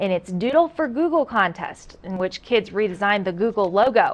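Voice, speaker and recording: At a fairly quick pace, a woman speaks with medium pitch and very wide pitch swings. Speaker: news anchor. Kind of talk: TV news anchoring. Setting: studio.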